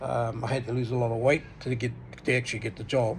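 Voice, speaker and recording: Room echo can be heard. The delivery is moderately paced. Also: man. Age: 60s. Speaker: vlogger. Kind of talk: casual monologue vlog. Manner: hesitant, many fillers and repeats.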